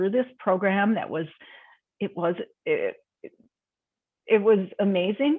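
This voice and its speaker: A woman at medium pitch, with a fairly slow pace. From Minnesota. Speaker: health and wellness coach. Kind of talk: interview answer. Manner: casual, chatty.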